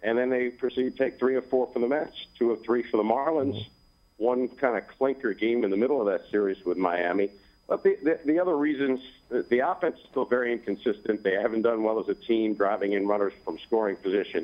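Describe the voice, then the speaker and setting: At a fairly quick pace, a man with an ordinary speaking voice talks at a medium pitch with ordinary pitch variation. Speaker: baseball radio play-by-play announcer. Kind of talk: sports interview answer.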